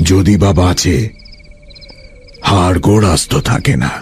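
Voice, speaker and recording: A man uses a put-on character voice, very deep and low, delivered at a fairly slow pace. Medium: audio drama. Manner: formal and polite, turning commanding.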